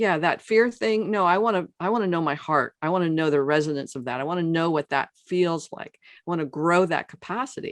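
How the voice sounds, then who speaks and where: A woman speaks at a very deep, low pitch with lively intonation. The sound is dry and close with no echo, against a quiet background. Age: 70s. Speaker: transformational coach and author. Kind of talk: podcast interview. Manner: halting, many restarts and fillers; animated.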